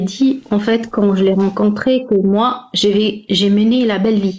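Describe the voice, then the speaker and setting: A woman talks at a fairly slow pace. Her pitch is fairly high and her intonation fairly even. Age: 40s. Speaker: caller seeking relationship advice. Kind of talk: personal testimony in live call. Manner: halting, many hesitations.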